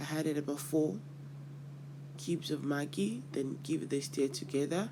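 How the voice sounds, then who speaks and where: A man with a Nigerian accent has a fairly high pitch and a dark, mellow, somewhat breathy tone. He goes at a moderate pace, with audible room echo. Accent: Nigerian (Yoruba) English. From Nigeria, Yoruba. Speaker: cooking channel host. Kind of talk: cooking tutorial. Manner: casual, with hesitations.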